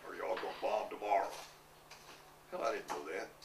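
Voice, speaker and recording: The fairly quick speech comes with audible room echo and noticeable background noise. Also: man. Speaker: war veteran. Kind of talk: oral history interview. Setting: interview recording.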